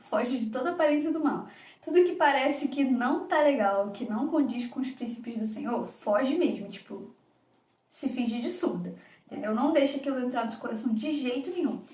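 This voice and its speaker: A woman with a Rio de Janeiro accent speaks at a high pitch with ordinary pitch variation. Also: moderate pace. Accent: Carioca Brazilian Portuguese. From Rio de Janeiro, Brazil. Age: 20s. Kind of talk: devotional podcast talk. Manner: casual, conversational.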